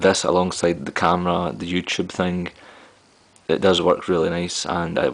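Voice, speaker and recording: Moderate pace and monotone, flat intonation, in a Glaswegian accent. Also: man. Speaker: tech reviewer. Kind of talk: product review vlog. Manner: casual, with frequent fillers.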